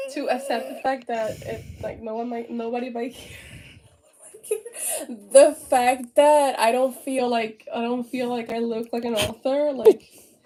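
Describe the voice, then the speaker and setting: A woman with a Spanish accent and a high pitch speaks at a fairly slow pace. Her loudness swings widely, over noticeable background noise. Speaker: author and artist. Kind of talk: casual interview chat. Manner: animated.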